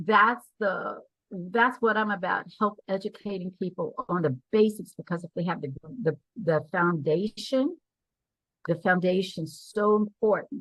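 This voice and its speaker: A woman's somewhat breathy voice, medium in pitch, with ordinary pitch variation and a fairly slow pace. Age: 70s. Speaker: business money educator. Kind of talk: interview. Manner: halting.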